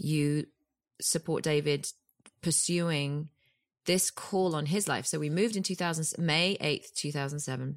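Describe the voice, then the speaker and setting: A woman with a British accent, very deep and low in pitch, with fairly even intonation, in a very clean recording with a silent background. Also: fairly slow pace. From UK. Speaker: actress and producer. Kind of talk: casual interview chat.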